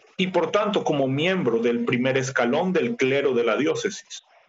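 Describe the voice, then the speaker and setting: A man with lively intonation keeps to a fairly slow pace while noticeable noise sits behind him. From Ecuador. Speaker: church missionary. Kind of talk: interview. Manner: formal.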